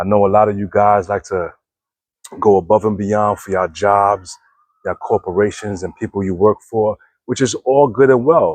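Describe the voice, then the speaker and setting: A man with an American accent talks at a moderate pace in a fairly low pitch, the sound dry and close with no echo. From Brooklyn, New York. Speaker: motivational vlogger. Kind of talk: motivational monologue. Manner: stumbling over words.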